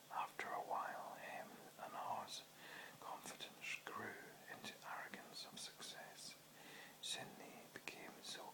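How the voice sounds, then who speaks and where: A man whispers over noticeable background noise. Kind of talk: audiobook-style reading of a short book, whispered. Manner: whispered.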